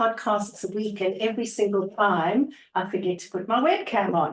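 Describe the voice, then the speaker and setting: A woman with an Australian accent, fairly high in pitch, at a fairly slow pace. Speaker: organizational psychologist. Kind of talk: interview. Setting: video call.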